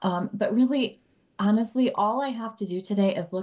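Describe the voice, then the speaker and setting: A woman speaks in a plain, everyday voice at a moderate pace with ordinary pitch variation. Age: 40s. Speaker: mother of young twins, anxiety author. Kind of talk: podcast interview.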